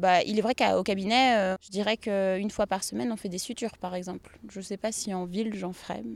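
Speaking fairly quickly, a woman has an unremarkable speaking voice at medium pitch with fairly even intonation. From western France, Pays de la Loire (Saint-Nazaire, Nantes). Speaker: family doctor. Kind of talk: casual interview on a farm tour. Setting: outdoors at her stables.

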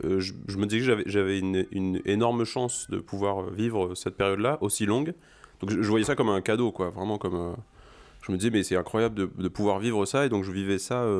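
Here a man talks at a fairly low pitch with ordinary pitch variation. His pace is fairly quick. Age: 30s. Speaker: father on parental leave. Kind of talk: casual interview chat. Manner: halting, many hesitations.

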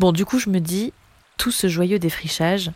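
An ordinary speaking voice at a moderate pace. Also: woman. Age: 20s. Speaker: speech therapist and singer. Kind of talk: personal monologue.

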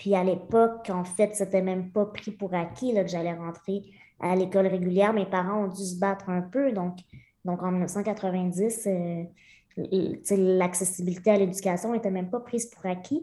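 A woman's dark, mellow voice at a medium pitch, fairly slow, with fairly even intonation. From rural Centre-du-Québec, near Victoriaville. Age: 30s. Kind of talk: casual interview.

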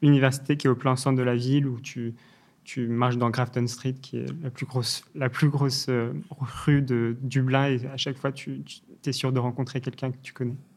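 A man's monotone, flat delivery at a moderate pace. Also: medium pitch for a man. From England, London; Irish mother, French father. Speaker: startup founder. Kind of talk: interview. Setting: studio. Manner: halting, many repetitions and fillers.

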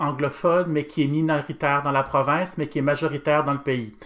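Speaking fairly quickly, a man with a Quebec accent has a fairly high pitch. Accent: Québécois French. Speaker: pedagogical adviser for second-language French. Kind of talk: interview.

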